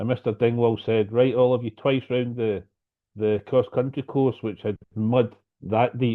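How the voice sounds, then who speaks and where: This man has a Scottish accent and talks at a fairly slow pace. His intonation is monotone and flat. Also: medium pitch for a man. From Scotland, near Glasgow. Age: 60s. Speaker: lightning strike survivor, speaker. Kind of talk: personal story talk.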